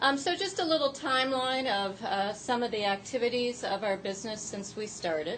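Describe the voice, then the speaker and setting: Moderate-paced speech from a woman, amid audible room echo and noticeable background noise. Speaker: worker cooperative founder. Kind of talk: conference presentation. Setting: small conference room. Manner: loud.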